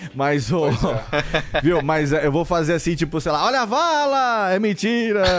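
Through noticeable background noise, a man talks at a fairly slow pace with hardly any pauses, at a high pitch with very wide pitch swings and very even loudness. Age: 40s. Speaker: podcaster. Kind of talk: casual chat.

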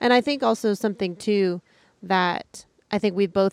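A woman with a medium pitch and an ordinary speaking voice talks at a fairly slow pace, in a very clean recording with a silent background and a dry, close sound with no echo. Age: 30s. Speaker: overlanding content creator. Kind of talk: casual chat. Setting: outdoors.

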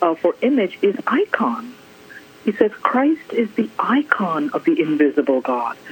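Noticeable noise sits in the background. The talking proceeds fairly slowly. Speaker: art scholar. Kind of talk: interview. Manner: measured, articulate.

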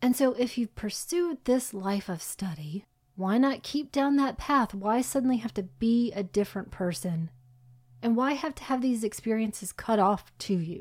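At a moderate pace, a woman with a fairly high pitch and a somewhat breathy sound is heard in a very clean recording with a silent background. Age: 40s. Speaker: podcast co-host. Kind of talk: casual film discussion.

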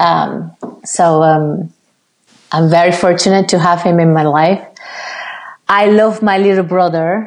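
A woman with a Spanish accent speaks at a fairly slow pace, fairly low in pitch, with long, frequent pauses. Her loudness stays very even and her intonation fairly even. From Cuba. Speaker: ballet dancer. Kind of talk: interview. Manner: halting.

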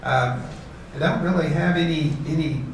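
Noticeable background noise runs behind a man's voice. He speaks fairly slowly with fairly even intonation. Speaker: senior living resident. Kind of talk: panel discussion. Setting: stage with audience. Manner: halting.

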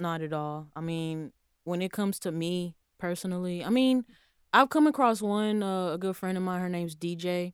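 Recorded very cleanly against a silent background, a woman with an American accent has an unremarkable speaking voice, a fairly low pitch with ordinary pitch variation, and a moderate pace. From Texas, Houston. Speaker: aspiring mix engineer. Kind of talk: casual interview.

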